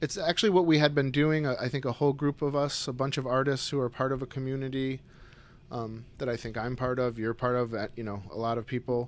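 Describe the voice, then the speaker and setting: With an American accent, a man talks at a very fast pace in a medium pitch with fairly even intonation. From upstate New York (Syracuse). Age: 40s. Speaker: painter. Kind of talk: casual chat. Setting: artist's studio.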